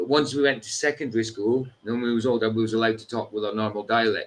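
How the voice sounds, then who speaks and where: In a northeast Scottish accent, the speaker goes at a very fast pace with ordinary pitch variation. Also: man. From Scotland, Doric-speaking northeast. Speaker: livestream host. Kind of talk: casual chat.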